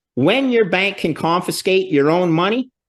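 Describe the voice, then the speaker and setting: Animated, lively male voice, high-pitched, with a Canadian accent and a quiet background. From Canada. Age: 60s. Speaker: finance expert. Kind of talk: interview.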